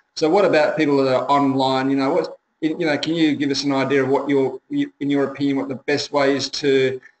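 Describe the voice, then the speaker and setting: Hardly any pauses break this man's fairly quick pace. His fairly high voice has monotone, flat intonation. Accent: Australian. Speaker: webinar moderator. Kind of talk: webinar Q&A. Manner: fast.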